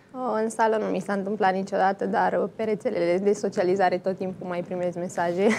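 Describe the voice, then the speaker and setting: A woman at a fairly quick pace with hardly any pauses, monotone, flat intonation and light background noise. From Romania. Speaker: handball player. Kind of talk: interview. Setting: studio. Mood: calm, reflective. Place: studio.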